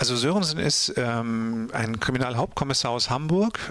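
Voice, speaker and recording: A man with an ordinary speaking voice, medium pitch and a moderate pace. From Ruhr area, Germany (Mülheim an der Ruhr). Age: 50s. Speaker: author and radio drama director. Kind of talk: casual interview.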